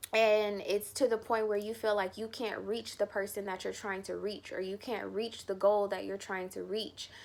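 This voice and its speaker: At a fairly slow pace, a woman of medium pitch speaks in a monotone, flat intonation on a very clean recording with a silent background. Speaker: tarot reader. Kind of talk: tarot reading monologue. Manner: hesitant fillers.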